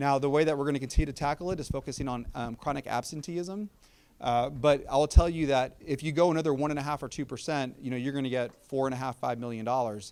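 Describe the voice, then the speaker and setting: In a very clean recording with a silent background, a man with an American accent speaks at a very fast pace. His pitch is fairly high and his intonation fairly even. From Texas, South Austin. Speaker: school district superintendent. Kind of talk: community meeting Q&A.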